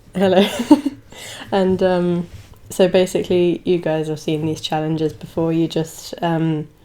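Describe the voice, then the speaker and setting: Through noticeable background noise, a woman speaks at a fairly slow pace and fairly low pitch, her intonation monotone and flat, with long, frequent pauses. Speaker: YouTuber hosting a game challenge video. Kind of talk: casual talk to camera.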